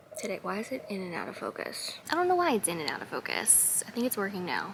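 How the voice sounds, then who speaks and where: At a fairly quick pace, a woman speaks in a normal speaking voice at a medium pitch. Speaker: lifestyle vlogger. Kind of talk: casual vlog talk. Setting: outdoors in garden.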